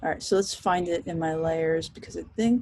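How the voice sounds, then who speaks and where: A woman speaks at a moderate pace. Her voice is somewhat breathy, with lively intonation. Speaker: professor teaching design software. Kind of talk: recorded class tutorial. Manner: casual, chatty.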